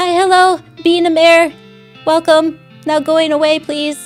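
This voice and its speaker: In a put-on character voice, a woman talks at a fairly slow pace with a raised, projected, squeaky delivery, an extremely high pitch and flat, monotone intonation, while faint music plays in the background. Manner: polite but dismissive, pompous.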